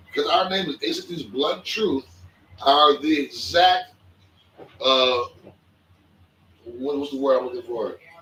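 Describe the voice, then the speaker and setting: A man talks at a very slow pace with very wide pitch swings. Noticeable background noise sits behind him. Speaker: podcast co-host. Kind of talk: casual chat. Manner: quiet.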